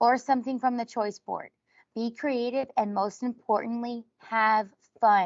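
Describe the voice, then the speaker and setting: A woman speaks in an American accent at a fairly slow pace. Her voice sits fairly high in pitch. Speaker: instructional technology trainer. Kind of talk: online workshop presentation. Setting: video call. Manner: soft-spoken, calm.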